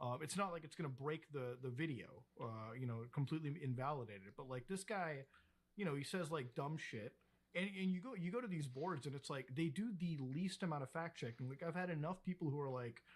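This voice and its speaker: A man with a fairly high, somewhat breathy voice speaks fairly quickly. His intonation is lively. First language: Hindi. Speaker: YouTuber covering internet controversies. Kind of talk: casual chat.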